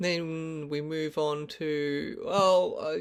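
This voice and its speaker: The speaker has an Australian accent. The recording is very clean and the background silent. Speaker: Buddhist teacher. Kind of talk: dharma teaching. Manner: hesitant, many ums.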